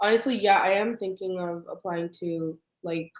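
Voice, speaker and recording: A woman with a normal speaking voice talks at medium pitch and a moderate pace, keeping her intonation fairly even. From Canada. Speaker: pre-med student. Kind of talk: casual chat.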